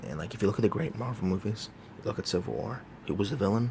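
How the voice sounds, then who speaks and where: Over noticeable background noise, a man speaks quietly and very fast, his fairly low voice showing ordinary pitch variation. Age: young. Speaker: movie reviewer. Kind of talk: casual monologue review. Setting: college dorm room. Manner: talking quietly.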